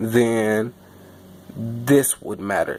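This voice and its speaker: A man speaks at a medium pitch in a monotone, flat way. The recording is very clean with a silent background. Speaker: game development tutorial maker. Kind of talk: tutorial. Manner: halting, with stutters and fillers; casual.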